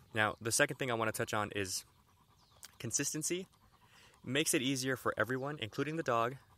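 Bright and sharp in tone, a man speaks at a very fast pace in a medium pitch, using ordinary pitch variation and long, frequent pauses. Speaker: dog trainer podcast host. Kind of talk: casual solo podcast talk. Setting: outdoors with dogs.

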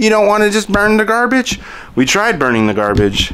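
The man's pitch swings very widely as he talks. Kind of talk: casual vlog chat. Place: garage. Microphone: phone near.

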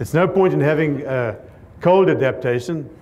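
Through light background noise, a man with a southern African accent speaks with ordinary pitch variation. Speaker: cattle rancher and grazing consultant; conference speaker. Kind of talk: conference talk. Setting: stage with audience. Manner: fast talker. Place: hall. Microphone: lapel.

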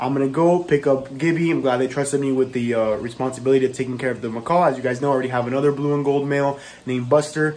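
A man at a very fast pace, with fairly even intonation and hardly any pauses. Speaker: pet vlogger. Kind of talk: casual vlog chat. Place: home room. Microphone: phone near.

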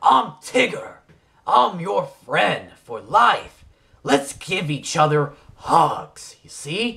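A man uses a cartoonish character voice, fairly high in pitch, at a very slow pace. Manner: upbeat.

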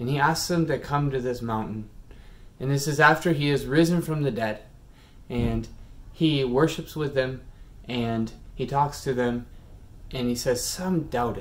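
A man talks at a moderate pace with ordinary pitch variation, leaving long, frequent pauses. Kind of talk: children's sermon. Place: home room. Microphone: phone near.

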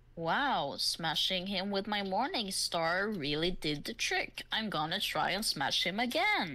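Over light background noise, a woman uses a put-on character voice at a medium pitch and a fairly slow pace. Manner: gruff.

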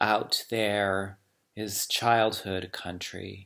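Against a quiet background, a man speaks in a bright, sharp tone at a fairly low pitch with monotone, flat intonation. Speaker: poet reading aloud. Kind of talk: poetry reading. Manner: slow, measured, hushed; contemplative, lyrical. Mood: calm, reflective. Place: home room. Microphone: webcam.

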